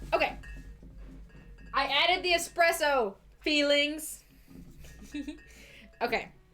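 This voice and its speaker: A woman's high, raised and projected voice in an American accent, very slow with long, frequent pauses and ordinary pitch variation, over music in the background. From US, Idaho. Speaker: livestream host making cocktails. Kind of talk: casual livestream chat.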